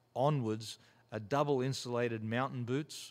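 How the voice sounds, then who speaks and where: A man with an Australian accent, medium-pitched and fairly even in intonation, at a fairly slow pace, on a very clean recording with a silent background. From rural Australia. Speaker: mountaineer and former special forces soldier. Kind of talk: interview conversation. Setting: studio.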